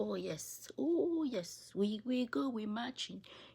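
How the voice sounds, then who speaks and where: A woman with an African accent speaks in an animated tone. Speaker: political commentary video creator. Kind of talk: opinion monologue.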